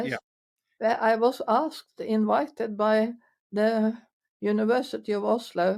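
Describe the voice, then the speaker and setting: A woman with a Norwegian accent speaks very slowly at a fairly high pitch with fairly even intonation, on a very clean recording with a silent background. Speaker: physiotherapist. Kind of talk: interview answer. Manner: hesitant.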